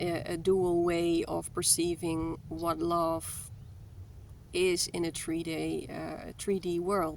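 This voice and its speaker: Spoken at a very slow pace, this voice carries a non-native accent. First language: not English. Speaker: spiritual content creator. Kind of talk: spiritual talk to viewers. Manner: halting, many fillers and repetitions.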